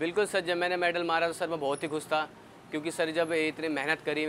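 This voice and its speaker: A man's fairly high-pitched voice. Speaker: athlete. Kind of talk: interview.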